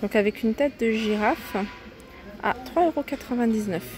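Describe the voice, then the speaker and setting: A woman's voice, dry with no echo, with clear music in the background. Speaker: shopping vlogger. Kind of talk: casual shopping haul commentary. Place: shop. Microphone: phone near.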